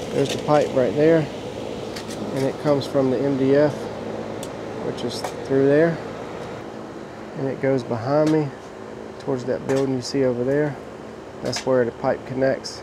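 A man at a moderate pace, monotone and flat, with long, frequent pauses and noticeable background noise. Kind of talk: work walkthrough commentary. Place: open country. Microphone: phone near.

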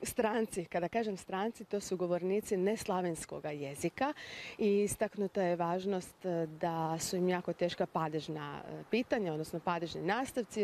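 The voice moves at a moderate pace with ordinary pitch variation, the sound dry with no echo and light background noise. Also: woman. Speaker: language expert guest. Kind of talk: TV interview. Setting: TV studio. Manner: formal. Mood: calm, informative. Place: street. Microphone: handheld.

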